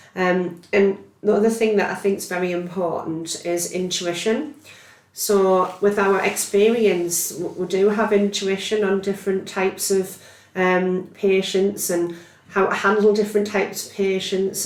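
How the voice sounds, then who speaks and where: A woman's medium-pitched, monotone voice with flat intonation, plus audible room echo and noticeable background noise. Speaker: neurophysiology healthcare scientist. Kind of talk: podcast interview. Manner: loud.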